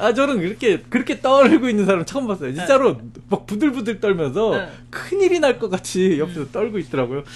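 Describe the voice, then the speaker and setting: The speech moves at a fairly quick pace with hardly any pauses. Its pitch swings very widely. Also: man, high pitch for a man. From South Korea. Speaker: podcast co-host. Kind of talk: casual chat.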